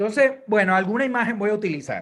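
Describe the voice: A man's high-pitched, fairly bright voice, fast in pace with lively intonation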